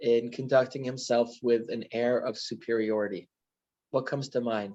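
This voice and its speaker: Fairly even intonation at a medium pitch marks this man's speech. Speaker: rabbi teaching a class. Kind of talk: lecture. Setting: video call. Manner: halting, many ums.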